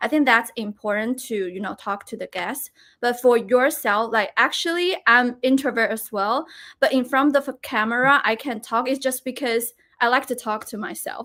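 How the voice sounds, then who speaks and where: In a very clean recording with a silent background, a woman with a Chinese accent speaks at a moderate pace, high-pitched and bright, sharp in tone, with ordinary pitch variation. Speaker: live streamer. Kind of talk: casual chat.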